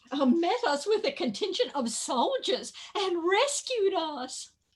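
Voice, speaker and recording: This put-on character voice sits at an extremely high pitch with very wide swings. The delivery is fairly slow. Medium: stage play.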